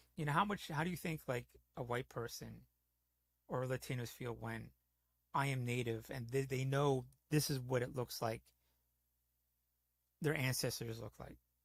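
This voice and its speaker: Speaking at a moderate pace and medium pitch, a man sounds somewhat breathy, with ordinary pitch variation and long, frequent pauses. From New York / New Jersey (Bronx, Jersey). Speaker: gaming streamer. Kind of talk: casual chat.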